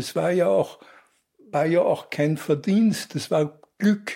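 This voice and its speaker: The man's intonation rises and falls in a lively way. He talks very slowly. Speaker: journalist. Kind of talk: interview.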